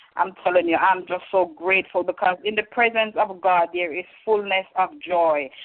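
A woman's normal speaking voice at medium pitch, fairly even in intonation, moderate in pace, with hardly any pauses. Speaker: caller sharing testimony. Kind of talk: testimony. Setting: phone call.

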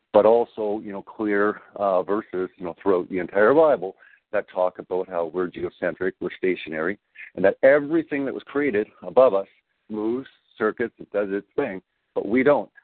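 Some man with an unremarkable speaking voice talks at a fairly low pitch, with ordinary pitch variation. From Canada. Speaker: video maker and flat earth advocate. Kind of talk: radio interview.

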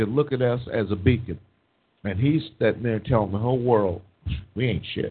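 A man with a normal speaking voice and a medium pitch. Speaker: panelist. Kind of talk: live political talk radio banter.

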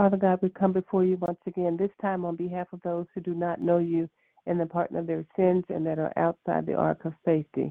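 Her intonation monotone and flat, a woman speaks at a fairly quick pace with a fairly low pitch. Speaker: prayer call participant and call operator. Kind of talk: formal spoken prayer.

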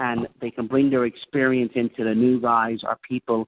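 A man has an unremarkable speaking voice, pitched medium and paced moderately. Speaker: committee chair. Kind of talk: formal committee meeting. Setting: video call. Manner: polite, chairing, a bit bossy.

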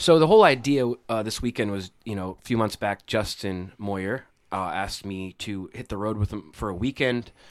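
A man with a plain, everyday voice speaks at fairly low pitch with ordinary pitch variation, a moderate pace and hardly any pauses. His loudness swings widely, and the recording is very clean with a silent background. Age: 30s. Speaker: podcast host. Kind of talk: casual chat. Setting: on the road, recording at guest's place.

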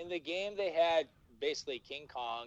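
A man talks at a fairly quick pace. His voice sounds dry and close, with no echo. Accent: Minnesotan. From Minnesota. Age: 30s. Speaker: podcaster. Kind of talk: casual chat. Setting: video call.

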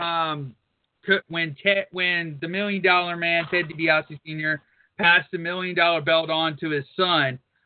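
The delivery is fairly slow. The intonation stays monotone and flat. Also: man, high pitch for a man. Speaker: radio co-host. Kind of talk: radio show banter and ad reads. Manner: irreverent, profane, joking.

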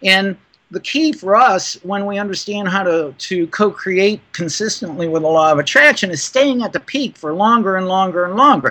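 A man with an American accent projects a raised voice, high in pitch and bright, sharp in tone, with lively intonation at a moderate pace. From US Midwest, Cleveland, Ohio. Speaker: law of attraction life coach. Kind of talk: interview.

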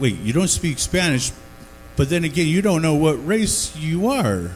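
A man with an American accent at a fairly high pitch and moderate pace, with audible room echo and noticeable background noise. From Denver area, Colorado. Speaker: comedy show host. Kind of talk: stand-up. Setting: bar stage with small audience.

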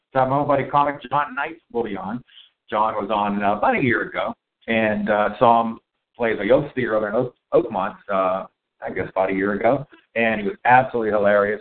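Speaking with a Pittsburgh accent, a man keeps a fairly quick pace at medium pitch with ordinary pitch variation. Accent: Pittsburgh (Western Pennsylvania) American. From Pittsburgh, US. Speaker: podcast host and chef. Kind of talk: casual chat. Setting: coffee shop, recorded live.

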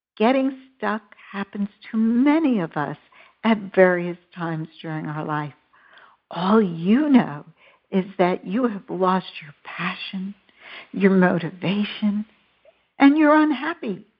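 Speaking very slowly with long, frequent pauses, a woman with an American accent and medium pitch makes very wide pitch swings and big swings in loudness. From New York. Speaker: internet radio host. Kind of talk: interview; scripted narration.

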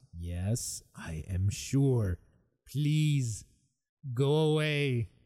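Using a put-on, gravelly character voice, a man speaks at a very slow pace. His pitch sits in the medium range but swings very widely. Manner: weary, pleading.

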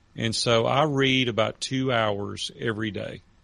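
With a Southern US accent, a man speaks at a medium pitch with ordinary pitch variation against a quiet background. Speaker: author and retired businessman. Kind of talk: interview. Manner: animated storyteller.

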